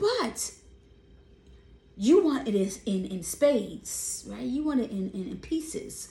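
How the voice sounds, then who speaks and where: Loud and animated in tone, a woman talks over noticeable background noise. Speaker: vlogger. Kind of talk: casual monologue.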